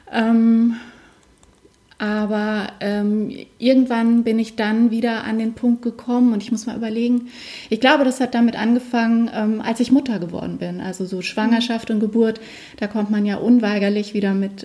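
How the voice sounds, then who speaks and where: Over noticeable background noise, a woman speaks in a monotone, flat intonation. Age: 40s. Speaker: alternative medicine practitioner. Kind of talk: interview.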